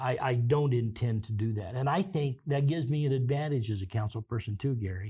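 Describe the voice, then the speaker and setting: In an American accent, a man talks at a fairly quick pace with hardly any pauses, his medium-pitched voice dark, mellow and somewhat breathy with ordinary pitch variation. The recording is very clean, with a silent background. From Kansas. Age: 60s. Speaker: city councilman. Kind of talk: interview.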